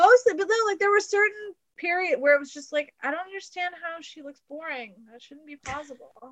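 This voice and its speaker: A woman speaks at an extremely high pitch and a fairly quick pace, with hardly any pauses. Her intonation is lively and her loudness swings widely. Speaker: podcast guest discussing movies. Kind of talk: casual chat. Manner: laughs a lot.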